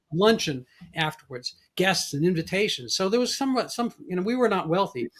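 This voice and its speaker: Fairly quick and high-pitched, a man with an American accent talks with very wide pitch swings. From New York, the Bronx. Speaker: podcast host. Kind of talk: interview conversation.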